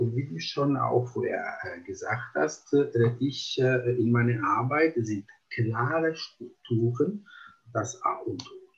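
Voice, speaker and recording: A man with an Italian accent speaks very slowly, with long, frequent pauses. His loudness swings widely. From Italy. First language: Italian (speaking German). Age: 50s. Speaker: psychomotor therapist. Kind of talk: interview. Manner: halting, many fillers.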